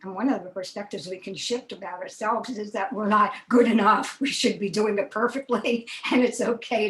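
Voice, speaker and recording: A woman's fairly high voice at a moderate pace, with hardly any pauses, big swings in loudness and noticeable background noise. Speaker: communication and connection coach. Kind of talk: online interview host opening.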